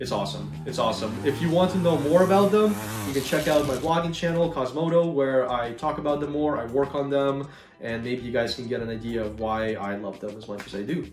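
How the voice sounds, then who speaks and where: Music plays in the background and there is audible room echo. A man with a fairly high pitch speaks at a fairly quick pace with lively intonation. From Ukraine, then Canada (southern Ontario). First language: Russian or Ukrainian. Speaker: gaming YouTuber. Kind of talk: Q&A video, casual talk to viewers. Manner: casual, many fillers and hesitations.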